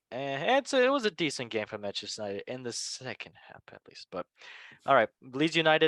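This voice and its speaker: A man with a non-native accent talks at a very fast pace, the sound dry and close with no echo. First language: not English. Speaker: football podcast host. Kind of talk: casual chat.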